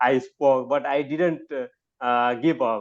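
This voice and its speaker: This man speaks at a very slow pace and a medium pitch. The background is quiet. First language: not English. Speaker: academic guest speaker. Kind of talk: online talk. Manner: halting.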